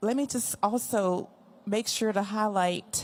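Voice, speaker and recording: A woman speaks in an American accent at a fairly slow pace. Her pitch is medium, with ordinary variation. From Texas, Wichita Falls. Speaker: retiring air force chief master sergeant. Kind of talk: retirement speech. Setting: ceremony with audience. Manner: loud.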